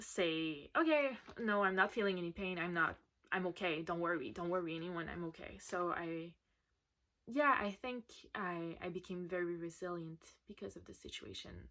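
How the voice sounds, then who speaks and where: On a very clean recording with a silent background, a woman with a Quebec accent speaks at a moderate pace and fairly low pitch, with ordinary pitch variation and big swings in loudness. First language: French. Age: 20s. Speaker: patient sharing her story. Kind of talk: recorded personal testimony.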